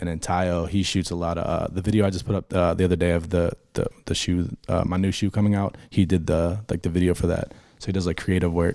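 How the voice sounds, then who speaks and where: A man with an American accent speaks at a very fast pace in a very deep, low, dark and mellow voice. His intonation is monotone and flat on a very clean recording with a silent background. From Pittsburgh, Pennsylvania. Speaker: sneaker designer. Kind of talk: casual interview.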